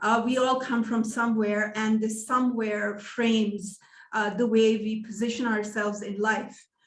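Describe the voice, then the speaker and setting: A somewhat breathy, fairly high-pitched woman's voice at a moderate pace, monotone and flat in intonation, with audible room echo. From Pakistan, also Iran and England. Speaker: education professor. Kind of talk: lecture.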